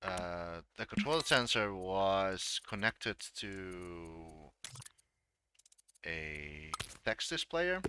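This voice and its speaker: In a Dutch accent, a man with a very deep, low pitch and a bright, sharp tone speaks at a very slow pace with long, frequent pauses and ordinary pitch variation, in a dry, close sound with no echo. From Netherlands. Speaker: game creator and streamer. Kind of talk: live stream tutorial. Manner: halting.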